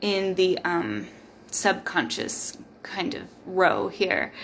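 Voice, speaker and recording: Speaking at a very slow pace, a woman uses a medium pitch with vocal fry. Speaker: tarot reader. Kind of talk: live tarot reading. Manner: casual, filler-heavy.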